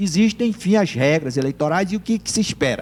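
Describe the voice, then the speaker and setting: A man's high voice carries lively intonation. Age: 60s. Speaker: political scientist and lawyer. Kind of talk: TV interview.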